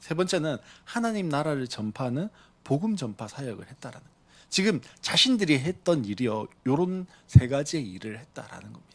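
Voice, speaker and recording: Pitched fairly high, a man speaks at a moderate pace with very wide pitch swings. His loudness swings a lot too. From Busan, South Korea. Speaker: pastor. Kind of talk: sermon.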